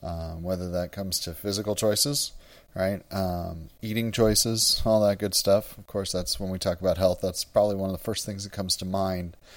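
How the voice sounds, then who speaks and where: A man with an American accent talks at a moderate pace in a fairly low pitch with fairly even intonation and a normal speaking voice. His loudness swings widely. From US Midwest, Wisconsin. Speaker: church music director and podcast host. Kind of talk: solo podcast monologue.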